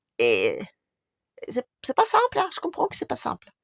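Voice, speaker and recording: A woman at a moderate pace, recorded dry and close with no echo. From Russia. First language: Russian (speaking French). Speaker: YouTuber. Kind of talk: video monologue.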